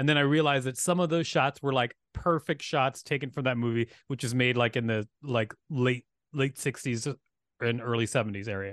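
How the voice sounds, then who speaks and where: With an American accent and an animated tone, a man speaks at a medium pitch and a moderate pace with ordinary pitch variation, against a quiet background in a dry, close sound with no echo. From US South (Huntsville, Alabama). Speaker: comedian and filmmaker. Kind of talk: casual chat. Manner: animated, laughs often.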